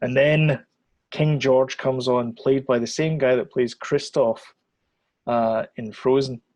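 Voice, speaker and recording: A man's medium-pitched voice with a Scottish accent, fairly even intonation and a fairly slow pace. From Scotland. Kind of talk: casual podcast conversation.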